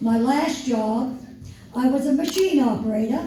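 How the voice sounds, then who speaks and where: In a room with audible echo, a woman speaks fairly slowly at a high pitch with ordinary pitch variation. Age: 80s+. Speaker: retired factory worker speaking at a political event. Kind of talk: speech at a town hall. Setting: town hall with audience.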